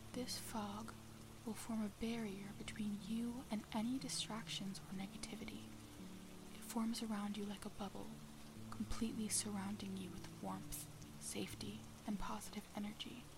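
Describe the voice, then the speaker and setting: Music behind a woman's voice, moderately paced. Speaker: meditation guide. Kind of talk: guided meditation, calm soothing instructions to relax.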